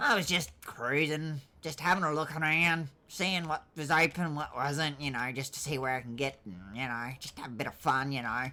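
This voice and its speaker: Here a woman performs a put-on character voice with a very deep, low pitch. She speaks at a moderate pace with ordinary pitch variation. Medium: game stream. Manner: rambling, filler-heavy, defiant.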